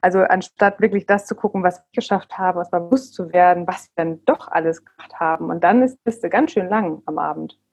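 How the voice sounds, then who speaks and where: A woman speaks fairly quickly in a medium pitch with hardly any pauses, ordinary pitch variation and big swings in loudness. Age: 40s. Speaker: parenting coach. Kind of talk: casual interview. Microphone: bumpy sound from bad internet.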